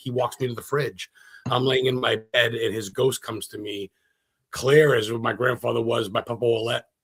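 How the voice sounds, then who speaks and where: Man with an American accent, vocal fry and a moderate pace. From Maine, US. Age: 40s. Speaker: paranormal investigator and historian. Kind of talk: casual interview. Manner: animated.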